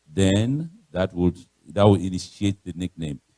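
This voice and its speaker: A man talks with a Nigerian accent in a dark, mellow tone. The sound is dry and close, with no echo. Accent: Nigerian (Yoruba) English. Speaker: guest speaker, pastor. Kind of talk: sermon-style talk.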